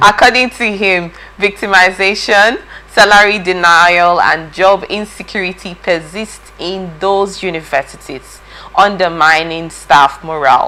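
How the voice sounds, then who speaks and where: Over noticeable background noise, a woman is speaking. Her pace is fairly slow. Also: medium pitch for a woman, ordinary pitch variation. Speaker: TV news presenter. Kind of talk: news discussion. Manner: halting, stuttering.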